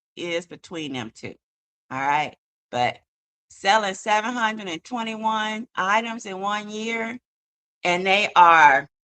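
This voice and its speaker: Speaking at a very slow pace, a woman at medium pitch uses lively intonation and a bright, sharp tone, with a dry, close sound and no echo. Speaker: online commentary streamer. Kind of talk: casual live stream commentary. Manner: animated, conversational.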